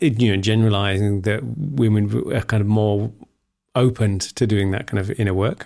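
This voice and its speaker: A man with a British accent speaks at a moderate pace in a fairly low, dark, mellow voice with fairly even intonation. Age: middle-aged. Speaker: podcast host. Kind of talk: interview conversation. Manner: halting.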